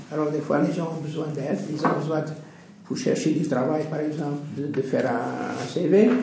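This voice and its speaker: There is audible room echo and noticeable background noise as a man speaks at a fairly slow pace, his fairly high pitch showing ordinary variation. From Portuguese background. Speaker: retired civil servant, association volunteer. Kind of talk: interview. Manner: halting.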